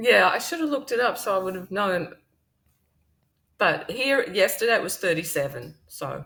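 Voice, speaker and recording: With very wide pitch swings and vocal fry, a woman speaks with long, frequent pauses on a very clean recording with a silent background. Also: medium pitch for a woman, moderate pace. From Western Australia (Perth), born in Wales. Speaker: thriller author. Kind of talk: interview.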